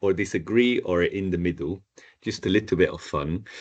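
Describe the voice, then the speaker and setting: Against a quiet background, a man with a Spanish accent talks at a fairly quick pace. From northern Spain. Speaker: Spanish teacher. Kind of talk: online language class.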